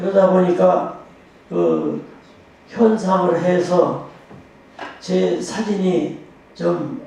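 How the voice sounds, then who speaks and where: A man talks at a very slow pace with high pitch and fairly even intonation. Noticeable background noise and audible room echo fill the recording. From Korea, Boryeong, South Chungcheong. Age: 80s+. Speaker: photographer. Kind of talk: interview talk on stage.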